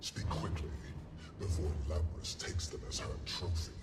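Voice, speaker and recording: Over loud background noise, a man uses a put-on character voice pitched very deep and low. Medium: video game. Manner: dry, measured.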